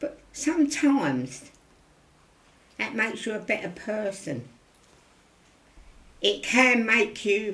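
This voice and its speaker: At a very slow pace, a woman speaks at medium pitch. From London East End. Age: 90s. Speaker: elderly local resident. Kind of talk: interview. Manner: repetitive, conversational.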